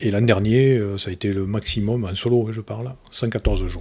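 Dark and mellow in tone, a man speaks fairly slowly with fairly even intonation. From Lozère, southern France. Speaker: amateur ocean rower, petrochemical manager. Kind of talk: interview. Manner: halting.

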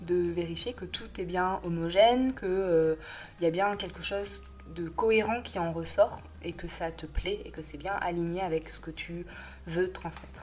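This woman talks at a moderate speed. Her volume rises and falls in big swings. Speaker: graphic designer. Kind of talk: audio newsletter monologue. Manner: hesitant, many fillers.

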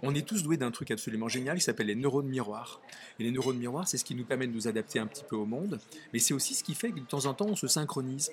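At a very fast pace, a man speaks at medium pitch. His pitch varies in an ordinary way. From Nice area, southern France. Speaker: author. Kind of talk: interview. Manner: halting.

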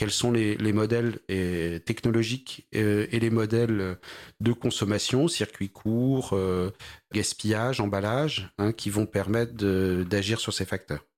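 A man speaks very slowly at a fairly low pitch, with fairly even intonation and very even loudness. The recording is very clean, with a silent background. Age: 40s. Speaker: startup founder in agri-food. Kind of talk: interview. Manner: halting.

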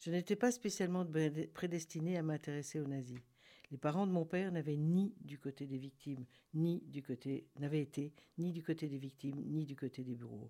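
The voice has a dark, mellow tone and ordinary pitch variation at a moderate pace. It is a very clean recording with a silent background. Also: woman, very deep, low pitch for a woman. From Argentina. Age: 70s. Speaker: author and philosophy talk organiser. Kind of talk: radio interview. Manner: halting.

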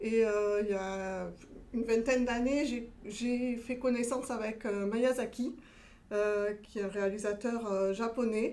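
Very slowly and with fairly even intonation, a woman speaks in a fairly high voice with a dark, mellow tone, and room echo can be heard. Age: 40s. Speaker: entrepreneur planning a cosplay shop. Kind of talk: pitch.

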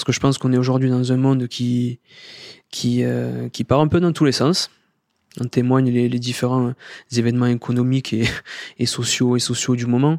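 A man with a southern French accent, flat and monotone, with long, frequent pauses, in a dry, close sound with no echo and a very clean recording over a silent background. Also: medium pitch for a man, moderate pace. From southern France, Sète. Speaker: corporate sustainability director. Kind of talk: interview.

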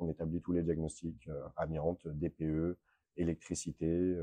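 A man with a very deep, low pitch talks in a dark, mellow tone with monotone, flat intonation. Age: 20s. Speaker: real estate diagnostics expert, company founder. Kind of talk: interview. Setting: his office. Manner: halting.

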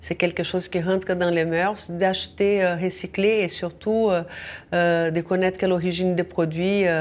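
With a Brazilian accent, a woman speaks at a fairly low pitch. Her pace is fairly slow and her intonation monotone and flat. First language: Portuguese (speaking French). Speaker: social enterprise founder. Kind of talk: radio interview. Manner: halting.

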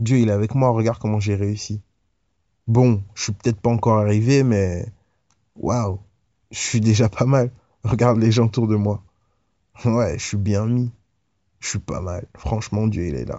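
Pausing long and often, a man speaks at a fairly slow pace with a fairly low pitch and fairly even intonation. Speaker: preacher. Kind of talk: devotional Bible teaching, preacher-style sermon. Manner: earnest, exhorting, direct appeals to the listener; casual, conversational, with hesitations.

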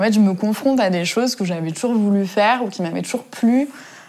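A woman talks at a very fast pace. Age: 20s. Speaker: interviewee. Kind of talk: interview. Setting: at home.

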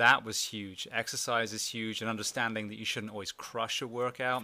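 With an English accent, a man speaks at a moderate pace in a fairly low pitch, his tone bright and sharp and his intonation monotone and flat. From England. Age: 40s. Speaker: former firefighter and podcast host. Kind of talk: interview conversation.

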